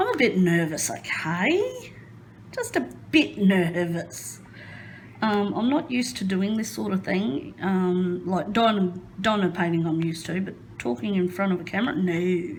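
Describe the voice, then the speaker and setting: A woman's medium-pitched voice is somewhat breathy, with lively intonation at a fairly slow pace. The room echo is audible. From Queensland, Australia. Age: 30s. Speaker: crafting YouTuber. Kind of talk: casual chat. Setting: home craft room.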